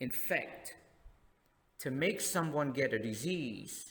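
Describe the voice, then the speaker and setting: Very slowly, a man with a Cambodian accent talks with lively intonation. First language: Khmer. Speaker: tour guide and former English teacher. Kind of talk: reading a text aloud for a lesson.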